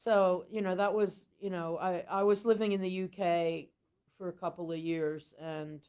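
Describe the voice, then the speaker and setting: The woman talks at a moderate pace. Her intonation stays fairly even. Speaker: blues singer and harmonica player. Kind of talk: podcast interview. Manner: halting.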